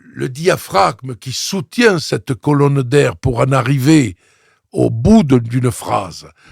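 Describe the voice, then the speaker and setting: In a dry, close sound with no echo, a man speaks very slowly at a medium pitch, somewhat breathy, with very wide pitch swings. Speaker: opera singer and voice coach. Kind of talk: interview conversation. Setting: studio.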